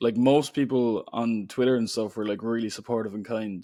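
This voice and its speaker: A man talks at a moderate pace in an Irish accent, with a medium pitch and monotone, flat intonation. His tone is dark and mellow, and the recording is very clean, with a silent background. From Ireland. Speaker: poet and author. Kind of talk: podcast interview. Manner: casual, filler-heavy speech.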